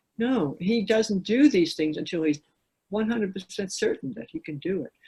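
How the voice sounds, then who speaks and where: With an American accent and a dark, mellow, somewhat breathy tone, a woman speaks at a moderate pace and medium pitch, her pitch swinging very widely and her loudness shifting in big swings. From New York City. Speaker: author and climber. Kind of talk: casual interview.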